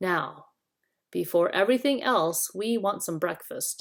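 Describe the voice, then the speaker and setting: Using a gruff, put-on character voice at a medium pitch, a woman speaks at a fairly slow pace. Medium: read story. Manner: gruff, blunt.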